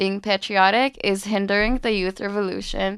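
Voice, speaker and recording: A woman with a Palestinian accent speaks at a moderate pace with medium pitch and fairly even intonation on a very clean, dry, close recording with no echo and a silent background. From East Jerusalem. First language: Arabic. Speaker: university student. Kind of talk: interview. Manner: casual, with filler words.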